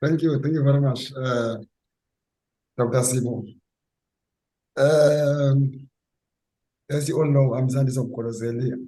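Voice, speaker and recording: Over audible room echo, a man with a dark, mellow, somewhat breathy tone speaks at a medium pitch in a monotone, flat intonation, leaving long, frequent pauses. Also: fairly slow pace. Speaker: club member. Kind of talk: short personal introduction. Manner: halting.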